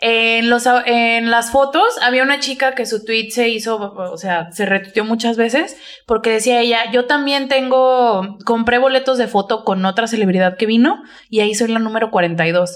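A woman with a Mexican accent speaks at a fairly slow pace. Her fairly high voice shows ordinary pitch variation. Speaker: podcast co-host. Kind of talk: casual chat. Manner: animated.

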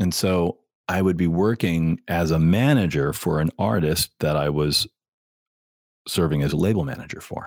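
Ordinary pitch variation in a very deep, low male voice. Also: moderate pace. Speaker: artist manager, former record industry. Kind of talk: casual interview chat. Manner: joking, bantering.

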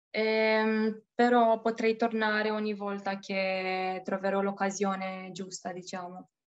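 A woman with a Romanian accent talks at a very slow pace, with hardly any pauses, against a quiet background. Her pitch is medium and her intonation monotone and flat. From Romania, Bucharest. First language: Romanian (speaking Italian). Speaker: expat bank employee. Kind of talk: interview. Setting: call. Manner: halting.

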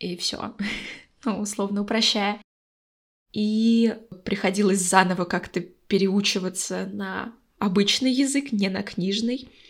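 Very slow, somewhat breathy speech from a woman at medium pitch, with fairly even intonation and long, frequent pauses, in a very clean recording with a silent background. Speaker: podcast co-host. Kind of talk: casual chat. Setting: call. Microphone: echo.

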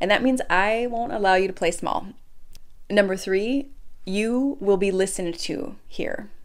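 This woman has an American accent and an unremarkable speaking voice. She talks at a fairly slow pace with a medium pitch. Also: ordinary pitch variation. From Minnesota. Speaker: faith podcast host and coach. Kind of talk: inspirational monologue.

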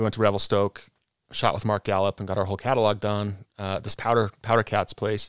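A man with an American accent speaks at a fairly low pitch and a fairly quick pace. His intonation is monotone and flat, in a dry, close sound with no echo. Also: very clean recording, silent background. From Utah, Cottonwood Heights. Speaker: former pro snowboarder, wheelchair user. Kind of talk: casual interview.

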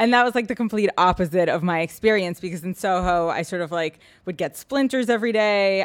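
A normal speaking voice with an American accent moves at a fairly quick pace and ordinary pitch variation, in a very clean recording with a silent background. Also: woman. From New York City, Manhattan. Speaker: real estate agent. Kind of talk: casual chat.

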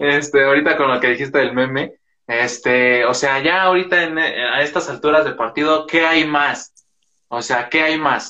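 A man with an ordinary speaking voice, fairly high in pitch. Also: fairly even intonation, moderate pace. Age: young. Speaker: podcast host. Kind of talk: casual interview.

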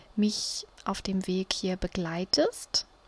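Here a woman speaks very slowly at a medium pitch. Her intonation stays fairly even. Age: 30s. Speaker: podcast host. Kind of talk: casual monologue. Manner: hesitant, many fillers.

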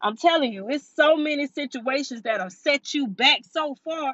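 A woman speaks with lively intonation. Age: 30s. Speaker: podcast host. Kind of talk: motivational monologue. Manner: animated.

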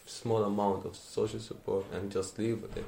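A man with an Arabic accent speaks at a moderate pace. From Syria, Aleppo. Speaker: refugee. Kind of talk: interview testimony.

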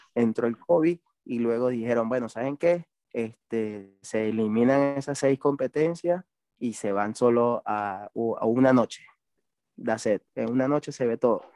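The speech comes at a fairly slow pace in a dark, mellow tone with ordinary pitch variation and a dry, close sound with no echo. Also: man, medium pitch for a man. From Venezuela. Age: 30s. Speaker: BMX racer. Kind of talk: casual interview.

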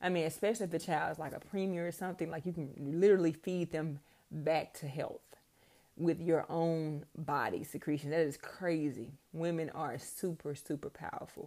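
Her voice is fairly low, with a dark, mellow tone. The woman keeps a moderate pace and fairly even intonation. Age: 30s. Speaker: podcast host. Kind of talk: personal monologue. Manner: casual, hesitant with many ums.

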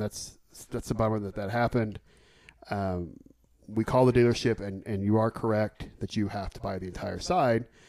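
A man talks in an ordinary speaking voice with an American accent. His pitch is medium, with ordinary pitch variation. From Oklahoma City. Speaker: podcast co-host. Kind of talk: casual chat.

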